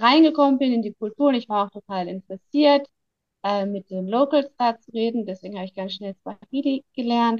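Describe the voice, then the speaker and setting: A woman with a fairly high pitch talks at a moderate pace in a normal speaking voice, with ordinary pitch variation and a dry, close sound with no echo. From Germany. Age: 30s. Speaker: biologist and conservationist, book subject. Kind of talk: personal life story interview. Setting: video call from Tanzania.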